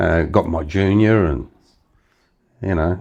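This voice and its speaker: A man's very deep, low voice with lively intonation at a very slow pace. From Australia. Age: 70s. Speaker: retiree. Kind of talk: interview answer.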